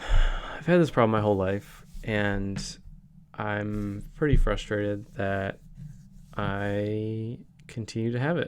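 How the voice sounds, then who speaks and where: The speaker mumbles at a very slow pace. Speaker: daily video blogger. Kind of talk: video diary monologue. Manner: mumbling.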